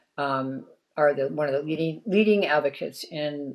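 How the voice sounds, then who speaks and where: Her voice is very deep and low in pitch, with vocal fry, at a moderate pace. The woman is heard in a very clean recording with a silent background. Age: 60s. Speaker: environmental advocacy director. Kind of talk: interview. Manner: animated.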